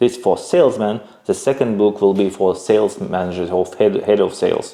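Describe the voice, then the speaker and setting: Speaking with a non-native accent, a man keeps a moderate pace. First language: not English. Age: 30s. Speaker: entrepreneur. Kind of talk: interview. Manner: halting.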